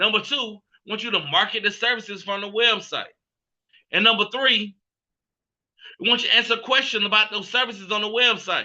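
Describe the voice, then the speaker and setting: A man projects a raised voice with a high pitch and a bright, sharp tone. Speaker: business opportunity presenter. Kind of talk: sales pitch. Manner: fast; animated.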